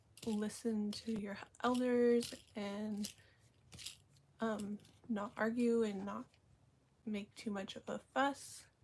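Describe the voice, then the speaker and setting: Somewhat breathy and very slow, a woman with a fairly high pitch speaks in a monotone, flat intonation. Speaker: vlogger. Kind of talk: casual live stream monologue. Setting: live stream. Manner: hesitant, many fillers.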